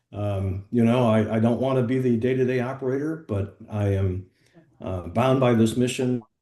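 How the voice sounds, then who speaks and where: The man's medium-pitched voice has a dark, mellow tone and ordinary pitch variation. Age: 70s. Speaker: health tech startup founder. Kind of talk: business meeting discussion.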